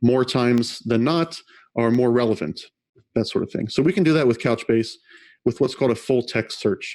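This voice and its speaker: This very clean recording has a silent background. A man speaks at a medium pitch with ordinary pitch variation. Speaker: conference speaker. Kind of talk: technical talk with live demo. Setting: virtual conference. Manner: fast.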